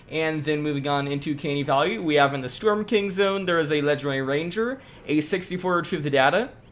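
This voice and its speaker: The speaker goes at a very fast pace. Music plays in the background. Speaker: gaming YouTuber. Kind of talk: gaming update commentary. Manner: casual, quick.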